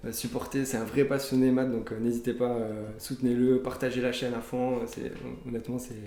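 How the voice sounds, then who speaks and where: Over noticeable background noise and audible room echo, a man speaks at a fairly quick pace with medium pitch and monotone, flat intonation. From southern France (Toulouse). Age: 30s. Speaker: app developer and card collector. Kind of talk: interview. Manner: hesitant, many fillers.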